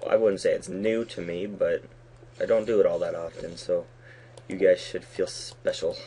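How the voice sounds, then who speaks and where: Music plays in the background as a man speaks. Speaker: Minecraft let's play YouTuber. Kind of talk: gaming commentary. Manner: halting, mumbling; casual chatty. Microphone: poor recording quality.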